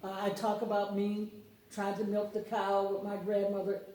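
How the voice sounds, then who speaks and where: A woman with an American accent speaks at a moderate pace and medium pitch. Noticeable background noise and audible room echo are present. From US South, Mississippi (Lawrence County). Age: 70s. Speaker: book author. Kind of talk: interview. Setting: radio studio.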